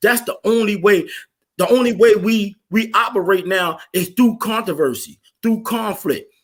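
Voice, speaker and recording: A man's high-pitched, animated voice at a moderate pace, with ordinary pitch variation. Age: 40s. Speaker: podcast host. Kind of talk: heated debate. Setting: live stream.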